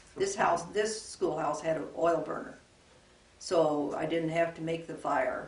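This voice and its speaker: Fairly slow and fairly even in intonation, the speech comes in an American accent against noticeable background noise. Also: woman. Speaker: retired rural school teacher. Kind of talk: oral history interview answer.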